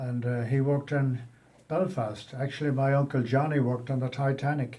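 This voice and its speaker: A man with an American accent talks at a fairly quick pace and a medium pitch. His tone is dark and mellow, somewhat breathy, with fairly even intonation. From Ireland, Westport, County Mayo. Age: 70s. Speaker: emigrant carpenter. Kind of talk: interview. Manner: halting.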